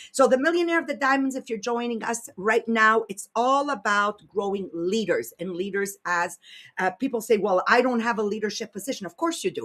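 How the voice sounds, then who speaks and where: A woman with a French Canadian accent talks at a fairly quick pace in a fairly high pitch. Her tone is animated, bright and sharp. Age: 60s. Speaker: podcast host and leadership coach. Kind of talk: casual chat; motivational talk.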